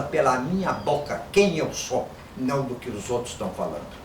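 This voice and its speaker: Amid noticeable background noise and audible room echo, a man talks fairly slowly with ordinary pitch variation. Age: 60s. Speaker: Yoruba language teacher and Afro-Brazilian religion practitioner. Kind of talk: monologue to camera. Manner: informal, conversational.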